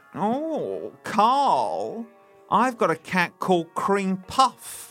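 A man performs a put-on character voice at a high pitch and a very slow pace, with faint music in the background. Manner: really camp.

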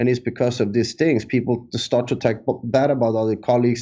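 A man speaks at a medium pitch and a fairly quick pace, his intonation monotone and flat. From Sweden. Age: 30s. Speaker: entrepreneur. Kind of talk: interview. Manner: halting.

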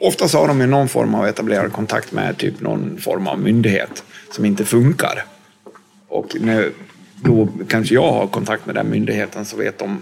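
With music in the background, a man in a Dalarna accent speaks at a moderate pace. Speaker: former criminal, social worker. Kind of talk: interview. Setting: hotel room.

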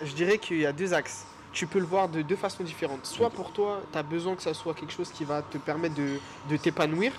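At a fairly quick pace, a man with a plain, everyday voice talks at a fairly high pitch with ordinary pitch variation. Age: 20s. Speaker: photographer and filmmaker. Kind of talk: casual chat.

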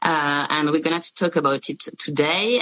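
A woman with a French accent and a very deep, low pitch, amid noticeable background noise. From France. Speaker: podcast host, media founder. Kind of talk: interview. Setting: video call. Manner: halting.

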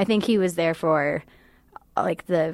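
Fairly low-pitched female voice with vocal fry and lively intonation. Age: 20s. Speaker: college student. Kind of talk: interview.

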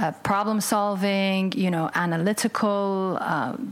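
A woman of medium pitch speaks at a moderate pace over noticeable background noise. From UAE (Sharjah), Palestinian-Lebanese family. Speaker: podcast host and former corporate executive. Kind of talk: interview conversation.

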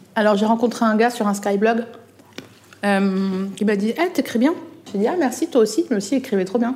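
A woman's fairly high voice with lively intonation, amid noticeable background noise. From eastern France, Alsace. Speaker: journalist and comedian. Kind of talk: casual chat. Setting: restaurant. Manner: animated.

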